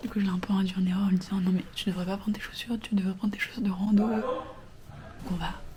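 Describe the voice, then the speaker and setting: Despite a very fast pace, a woman leaves long, frequent pauses in monotone, flat intonation, with audible room echo and noticeable background noise. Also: medium pitch for a woman. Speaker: vlogger. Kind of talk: casual vlog talk. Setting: bathroom. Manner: whispering.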